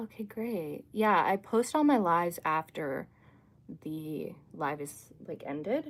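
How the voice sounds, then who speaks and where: A woman's fairly low voice with an American accent, very wide pitch swings, big swings in loudness, and a very slow pace. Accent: sounds American. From Canada. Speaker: livestreamer, astrology content creator. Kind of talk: casual livestream chat reading comments. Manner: chatty, filler-heavy with frequent 'like'.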